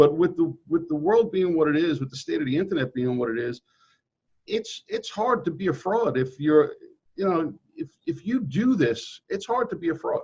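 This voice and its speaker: A man in a Brooklyn accent talks at a moderate pace with a high pitch and very wide pitch swings. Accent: New York, Brooklyn-like. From New York City suburbs (Queens, then Nassau County, Long Island). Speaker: real estate agent. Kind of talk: interview. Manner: casual, repetitive with false starts.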